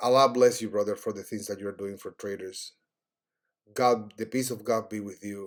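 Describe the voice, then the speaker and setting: A man with a Cuban accent at a fairly low pitch and moderate pace, with fairly even intonation, big swings in loudness, and a very clean recording with a silent background. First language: Spanish. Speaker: trading educator. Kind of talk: tutorial. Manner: halting.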